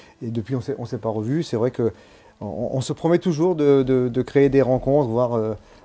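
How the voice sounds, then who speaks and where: A man speaks at a medium pitch and a moderate pace, with ordinary pitch variation. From Brittany, France. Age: 60s. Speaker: former amateur cyclist. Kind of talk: interview. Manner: halting.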